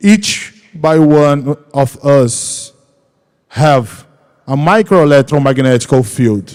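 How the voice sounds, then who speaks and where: A man speaks very slowly with a Portuguese accent. His pitch is fairly high and varies in an ordinary way. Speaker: research organization executive. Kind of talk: panel discussion. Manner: halting.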